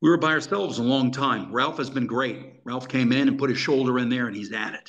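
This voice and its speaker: Pitched in the medium range, a man talks in an unremarkable speaking voice with ordinary pitch variation. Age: 60s. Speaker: former intelligence officer. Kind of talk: interview.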